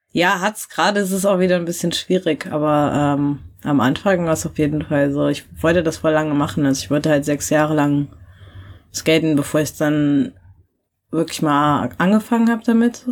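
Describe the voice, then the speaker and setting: Her voice is a woman's at a very deep, low pitch, moving at a moderate pace with ordinary pitch variation. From rural Germany. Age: 20s. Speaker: skateboarder. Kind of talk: casual interview.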